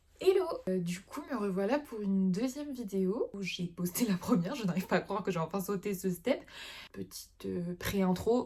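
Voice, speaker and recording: Over noticeable background noise, a woman talks at a moderate pace and medium pitch with lively intonation. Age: 20s. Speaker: illustrator. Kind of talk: casual talk to camera.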